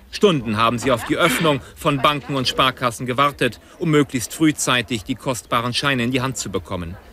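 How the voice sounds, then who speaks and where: A man's intonation is lively, and noticeable background noise can be heard behind him. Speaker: TV reporter (archive clip). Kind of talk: 1990 German TV news report narration. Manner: brisk, formal, newsreader-like.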